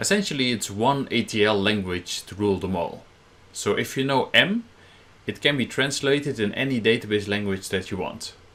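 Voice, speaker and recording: In a Dutch accent, the voice has a bright, sharp tone, a moderate pace and ordinary pitch variation. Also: man, medium pitch for a man. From Netherlands. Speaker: software trainer. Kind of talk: technical presentation.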